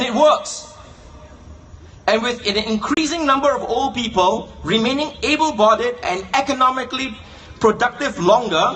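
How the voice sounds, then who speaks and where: Against noticeable background noise, the speaker's pitch moves in an ordinary way. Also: man. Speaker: political speaker. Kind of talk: political speech. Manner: rhetorical, questioning.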